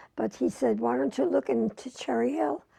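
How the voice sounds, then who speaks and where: A woman speaks in an American accent with a dark, mellow tone. Her pitch swings very widely at a moderate pace. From New York City. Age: 80s+. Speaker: retired homemaker, longtime suburban resident. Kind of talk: oral history interview answer.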